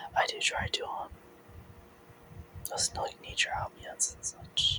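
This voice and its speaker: Noticeable noise sits in the background. The speaker whispers at a moderate speed. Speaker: ASMR artist. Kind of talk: ASMR ramble. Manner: soft-spoken.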